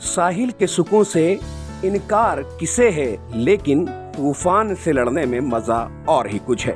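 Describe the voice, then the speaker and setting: Music plays behind a man with a fairly high voice. His pitch swings very widely. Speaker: news video narrator. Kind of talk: news story narration with poetic couplets.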